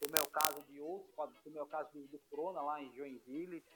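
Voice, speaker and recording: A man talks at a moderate pace in a monotone, flat intonation. Noticeable background noise runs under his voice. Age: 40s. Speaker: futsal goalkeeper. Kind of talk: casual interview. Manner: halting, repeats words.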